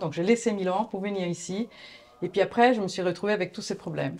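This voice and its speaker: A woman's dark, mellow voice with an Italian accent and ordinary pitch variation. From Italy, Florence. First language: Italian (speaking French). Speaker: agency founder, graphic designer. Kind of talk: interview. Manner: hesitant.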